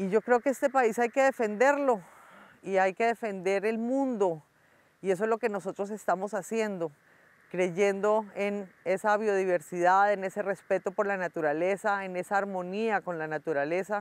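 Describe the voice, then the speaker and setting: Here is a woman with a plain, everyday voice at medium pitch. She talks at a moderate pace with ordinary pitch variation. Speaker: cattle farmer. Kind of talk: address to viewers.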